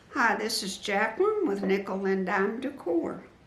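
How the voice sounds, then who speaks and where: At a fairly slow pace, a woman speaks at a medium pitch with audible room echo. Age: 70s. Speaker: quilting and decor YouTuber. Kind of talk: interview.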